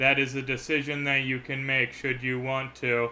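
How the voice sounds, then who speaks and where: A man puts on a character voice at a medium pitch, his intonation monotone and flat. He goes at a moderate pace over clear background noise. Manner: formal, ominous, game-narrator.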